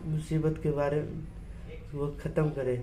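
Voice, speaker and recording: There is audible room echo around a man's fairly high voice. His intonation is monotone and flat. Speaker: voice therapy client. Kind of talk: testimony.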